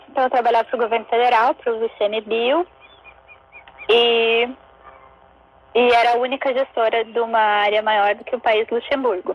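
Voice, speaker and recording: Speaking with monotone, flat intonation, a woman leaves long, frequent pauses. Her pitch is fairly high, and the sound is dry and close with no echo. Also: moderate pace. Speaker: zero-waste researcher and chocolate maker. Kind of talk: casual interview chat. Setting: online live stream.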